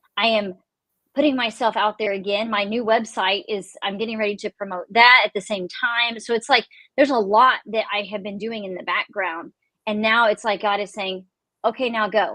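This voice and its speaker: In a Texan accent, a woman speaks at a fairly high pitch with a bright, sharp tone and fairly even intonation, recorded dry and close with no echo. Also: moderate pace. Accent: Texan Southern US. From Texas. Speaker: author. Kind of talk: casual chat. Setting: live stream video call.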